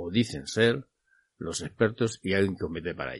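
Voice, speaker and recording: The speaker is a man talking at a fairly quick pace. His pitch varies in an ordinary way against a quiet background. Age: 50s. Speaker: radio host of a motorcycle show. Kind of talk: radio show monologue. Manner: hesitant with frequent fillers.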